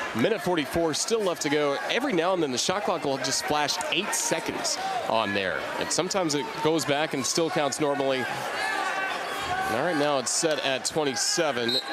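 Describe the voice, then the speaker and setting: Lively intonation carries the speech. Noticeable background noise can be heard too. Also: man, fairly high pitch for a man, very even loudness. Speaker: radio play-by-play announcer. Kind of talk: live sports radio play-by-play. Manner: fast, energetic.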